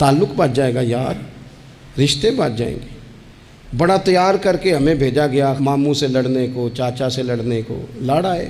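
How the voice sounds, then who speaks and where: Noticeable background noise sits under a man's voice, which is fairly high in pitch. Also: ordinary pitch variation. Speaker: Islamic scholar. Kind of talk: religious sermon. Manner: emotional, impassioned.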